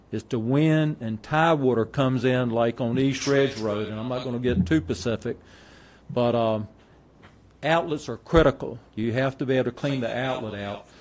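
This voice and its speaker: This man has a North Carolina accent, a medium pitch with ordinary variation, and a moderate pace. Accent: North Carolina Southern. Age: 60s. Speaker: farmer. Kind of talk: public comment.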